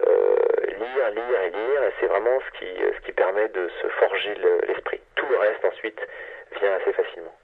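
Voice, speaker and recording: Noticeable background noise surrounds a man speaking at a moderate pace. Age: 40s. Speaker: science journalist. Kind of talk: interview. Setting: phone call. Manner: hesitant, many filler sounds.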